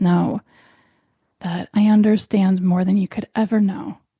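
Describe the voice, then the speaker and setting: Somewhat breathy with a dark, mellow tone, a woman speaks with fairly even intonation in a dry, close sound with no echo. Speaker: health podcast host and doctor. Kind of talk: podcast monologue. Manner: gentle, warm.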